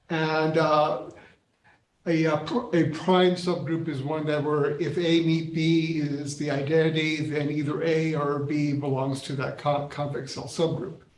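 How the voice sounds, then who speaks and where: The intonation is monotone and flat, with audible room echo. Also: man, fairly high pitch for a man, fairly slow pace. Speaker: mathematics professor. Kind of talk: lecture. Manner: halting.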